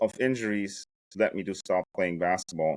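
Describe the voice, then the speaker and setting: In a very clean recording with a silent background and a dry, close sound with no echo, a man with a German accent speaks at a moderate pace. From Germany, Hamburg suburbs. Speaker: startup founder. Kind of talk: interview. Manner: animated.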